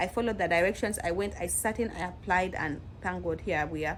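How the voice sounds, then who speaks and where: A woman's voice with vocal fry and ordinary pitch variation. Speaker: nurse. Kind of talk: advice vlog. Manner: casual, conversational.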